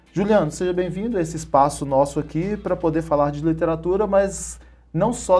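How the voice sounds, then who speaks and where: Against a quiet background, a man speaks in a fairly high pitch. His tone is dark and mellow, and his pitch varies in an ordinary way. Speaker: TV show host. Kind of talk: interview.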